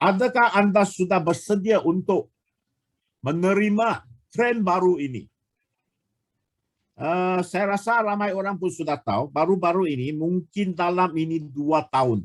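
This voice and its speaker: This man has a high pitch and ordinary pitch variation. He speaks at a fairly slow pace. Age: 60s. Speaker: product presenter. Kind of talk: sales pitch. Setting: online webinar. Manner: halting.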